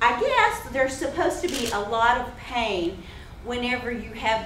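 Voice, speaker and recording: Noticeable background noise and audible echo from the room accompany a fairly slow delivery. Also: woman. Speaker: cancer survivor. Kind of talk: testimony. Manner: animated.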